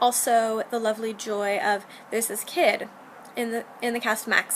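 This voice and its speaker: Noticeable background noise sits behind a woman's fairly high voice. She speaks at a moderate pace. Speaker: video blogger, theatre stage manager. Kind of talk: casual video diary. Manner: animated.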